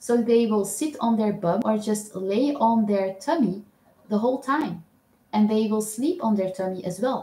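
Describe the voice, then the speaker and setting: The voice has a dark, mellow tone and is somewhat breathy. It moves at a moderate pace with ordinary pitch variation. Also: woman, fairly high pitch for a woman. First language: not English. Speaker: owl keeper vlogger. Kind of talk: live stream chat. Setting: live stream. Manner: hesitant, many fillers.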